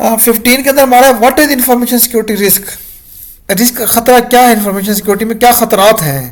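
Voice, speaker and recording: Noticeable background noise accompanies a man whose voice sits extremely high, with normal pitch variation. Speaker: online tutor. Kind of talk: tutorial. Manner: casual, with many fillers.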